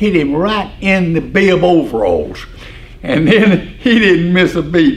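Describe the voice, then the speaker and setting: A man speaks in a high pitch with an Alabama accent. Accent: Southern US (Alabama). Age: 80s+. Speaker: retired farm equipment dealer. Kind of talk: storytelling interview.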